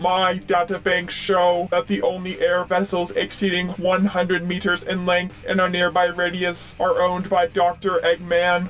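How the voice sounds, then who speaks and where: Put-on character voice over clear background noise. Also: man, high pitch for a man, moderate pace. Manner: flat, robotic, formal.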